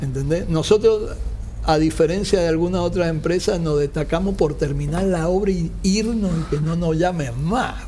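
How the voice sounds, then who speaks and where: Against noticeable background noise and audible room echo, a man talks at a moderate pace. His voice is high-pitched with fairly even intonation. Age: 60s. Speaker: construction company founder, engineer. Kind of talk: interview.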